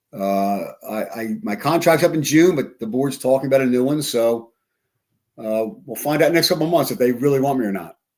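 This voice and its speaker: A man speaks at a fairly quick pace in a medium pitch, his intonation lively, on a very clean recording with a silent background. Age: 60s. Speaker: school superintendent. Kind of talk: casual interview. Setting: live stream studio. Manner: halting, many repetitions.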